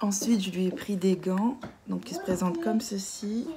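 A woman speaks at medium pitch in a dark, mellow tone. Her intonation is lively and her pace moderate.

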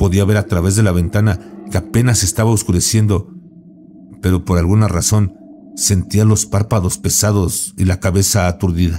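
With noticeable background noise behind him, a man speaks at a moderate pace in a fairly low voice. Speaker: horror story narrator. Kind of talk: ghost story telling, first-person scary narration.

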